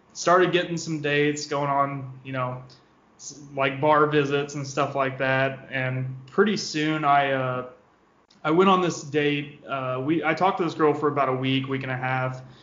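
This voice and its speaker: Audible room echo surrounds a man with an American accent. His pitch is fairly high and his intonation fairly even. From Southeast Missouri. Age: 20s. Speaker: office worker, dating guest. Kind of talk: casual chat.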